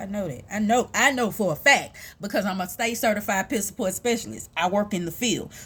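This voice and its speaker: On a very clean recording with a silent background, a woman with an American accent speaks at a very fast pace with lively intonation. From US South, Houston, Texas (south side). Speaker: vlogger, mother and peer support specialist. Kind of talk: casual personal vlog monologue.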